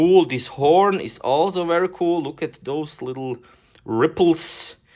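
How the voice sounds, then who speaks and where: In a very clean recording with a silent background, a speaker with a non-native accent talks at a very slow pace with ordinary pitch variation. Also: woman. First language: not English. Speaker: toy collector / unboxing youtuber. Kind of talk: casual unboxing video. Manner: animated.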